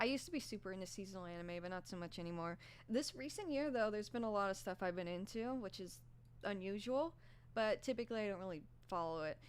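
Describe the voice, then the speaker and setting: The speaker is a woman with a medium pitch. She talks at a very fast pace. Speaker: streamer and anime content creator. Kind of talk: livestream casual chat. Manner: soft-spoken; halting, many fillers. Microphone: quiet mic.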